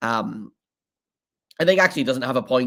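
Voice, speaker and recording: Intonation is lively. The pace is very fast. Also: man. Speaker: hockey podcast host. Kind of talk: podcast analysis monologue. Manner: hesitant, many fillers.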